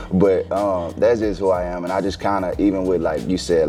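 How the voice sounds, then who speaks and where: A man with a Houston accent and a very deep, low pitch, music in the background. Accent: Houston Texas. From Texas, Houston. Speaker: former basketball player. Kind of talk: interview. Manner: laid back.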